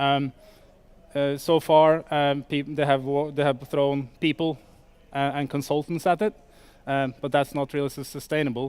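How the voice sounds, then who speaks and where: A man's fairly high-pitched voice with a Norwegian accent, moderate in pace, with fairly even intonation. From Norway. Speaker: startup sales executive. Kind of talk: conference talk. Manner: halting, many fillers.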